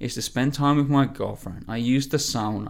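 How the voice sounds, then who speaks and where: Moderate in pace, a man speaks in an unremarkable speaking voice at a fairly high pitch. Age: 20s. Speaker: health and fitness coach. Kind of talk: solo podcast monologue.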